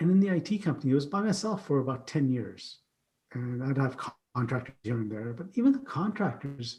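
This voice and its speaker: A man with a Canadian accent, a fairly high pitch and a dark, mellow, somewhat breathy tone, at a fairly quick pace with lively intonation. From Canada (Ottawa), immigrant from Uganda via Pakistan. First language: not English. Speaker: keynote speaker and IT company CEO. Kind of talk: podcast interview, personal story.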